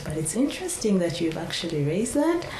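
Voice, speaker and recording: Noticeable background noise and audible room echo fill the recording. A woman speaks at a fairly quick pace. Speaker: court official. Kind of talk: lecture Q&A.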